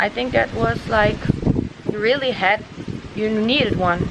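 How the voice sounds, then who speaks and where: A fairly high-pitched woman's voice in a Dutch accent, with noticeable background noise. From Netherlands. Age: 20s. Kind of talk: casual talk to camera. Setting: outdoors.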